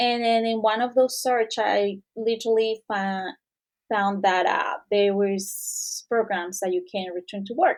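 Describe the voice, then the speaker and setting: A woman speaks fairly slowly with a Mexican accent and a fairly high pitch that varies in an ordinary way. The recording is very clean, with a silent background. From Mexico. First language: Spanish. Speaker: returning professional. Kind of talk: interview. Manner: halting.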